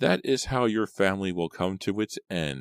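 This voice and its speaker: Doing a put-on character voice, a man sounds raspy and croaky at a fairly low pitch and a moderate pace. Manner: ominous, cursing.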